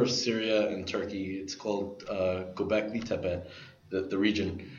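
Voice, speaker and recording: A man talks at a moderate pace with an American accent. Audible room echo and noticeable background noise surround his voice. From New York, Brooklyn. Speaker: podcast guest, tech enthusiast. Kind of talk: casual chat.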